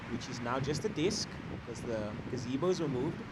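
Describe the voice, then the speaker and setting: Loud and full of very wide pitch swings, a man's voice comes through with audible room echo and noticeable background noise. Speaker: surf contest announcer. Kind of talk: live commentary.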